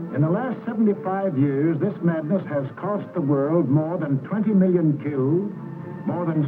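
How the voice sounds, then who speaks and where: Over music in the background, a man with a high pitch speaks at a moderate pace using lively intonation. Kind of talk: wartime propaganda documentary narration.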